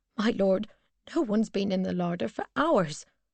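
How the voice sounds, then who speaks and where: At a moderate pace and medium pitch for a woman, a female-sounding voice is delivered as a put-on character voice. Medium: read story. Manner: fretful, restless.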